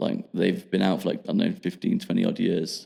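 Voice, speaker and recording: Mumbling, a man speaks with an English accent. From England, Midlands (Rugby). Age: 20s. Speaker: podcast guest. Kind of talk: casual chat. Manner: halting.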